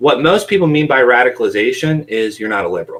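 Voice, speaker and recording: Speaking in an American accent at a very fast pace, the voice shows vocal fry and very wide pitch swings. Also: man. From West Virginia, Appalachia. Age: 20s. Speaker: podcast guest, former radicalized youth. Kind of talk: casual interview conversation. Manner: halting, many fillers.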